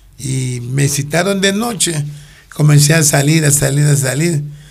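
A man's fairly high, somewhat breathy voice with audible room echo. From Ecuador, Guayaquil. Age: 60s. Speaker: actor, retired former police officer. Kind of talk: casual interview.

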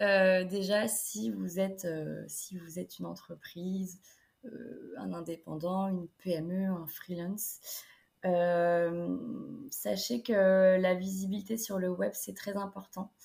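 A woman speaks at a very slow pace with fairly even intonation. Her voice is somewhat breathy. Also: medium pitch for a woman. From France, Niort (Deux-Sèvres). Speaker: student entrepreneur, web agency founder. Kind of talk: interview.

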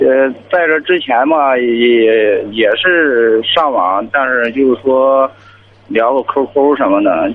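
A man talks at a very slow pace with very even loudness and ordinary pitch variation. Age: 30s. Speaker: caller, driver. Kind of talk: phone-in advice call.

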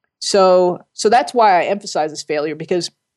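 A woman's ordinary speaking voice at medium pitch, with ordinary pitch variation and a moderate pace. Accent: American. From US Northeast, Jersey City, New Jersey. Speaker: scientist and professor. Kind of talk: interview.

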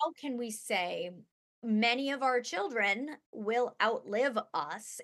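A woman with a normal speaking voice talks with a fairly high pitch and lively intonation. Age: 40s. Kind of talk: casual interview conversation.

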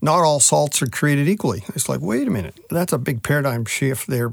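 Here a man speaks at medium pitch. He has a Midwestern US accent. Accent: US Midwest. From Nebraska. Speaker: meat science specialist. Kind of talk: interview.

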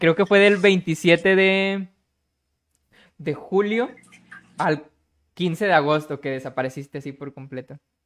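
A man talks at a very slow pace in a high pitch, with long, frequent pauses. His loudness swings widely. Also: ordinary pitch variation. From Monterrey, Nuevo León, Mexico. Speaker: podcast host. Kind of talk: interview hosting. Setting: live-streamed online call.

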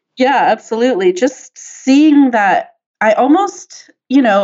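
Her intonation is lively. The woman talks in an American accent. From US West Coast (San Diego, California). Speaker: software engineer and activist. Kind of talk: interview conversation.

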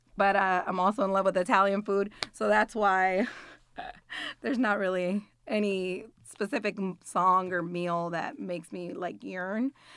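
In a very clean recording with a silent background, a woman with a Spanish accent speaks at a moderate pace. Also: medium pitch for a woman, ordinary pitch variation. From Puerto Rico. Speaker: nursing student. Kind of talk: casual interview. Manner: frequent filler words, hesitant.

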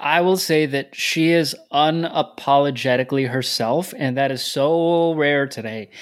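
An ordinary speaking voice from a man, fairly high in pitch, with ordinary pitch variation and a fairly slow pace. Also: hardly any pauses. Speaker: podcast co-host. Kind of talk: interview.

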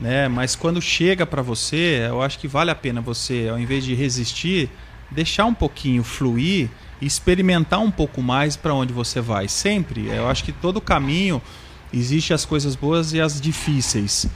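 A man's plain, everyday voice, fairly high in pitch, with lively intonation at a moderate pace. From central Paraná, Brazil. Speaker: franchise school co-owner. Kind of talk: casual interview chat. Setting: studio.

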